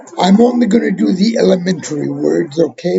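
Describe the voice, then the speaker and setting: A man with an Arabic accent. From Palestine. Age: 50s. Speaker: religious language teacher. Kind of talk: tutorial. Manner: informal, hesitant with fillers.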